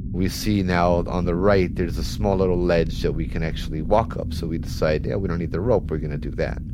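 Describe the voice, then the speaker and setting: In a room with audible echo and noticeable background noise, a man with a very deep, low voice speaks at a fairly quick pace with ordinary pitch variation and hardly any pauses. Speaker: storyteller. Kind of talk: first-person ghost story telling. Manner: tense, building urgency.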